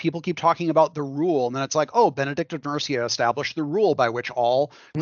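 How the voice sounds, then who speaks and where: A man speaks with ordinary pitch variation. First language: English (speaking German). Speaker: game developer. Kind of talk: interview.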